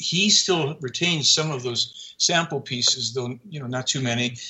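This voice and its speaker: With ordinary pitch variation, a man speaks in a fairly high pitch. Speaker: documentary filmmaker and researcher. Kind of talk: radio interview, explaining claims. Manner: earnest, conversational, animated.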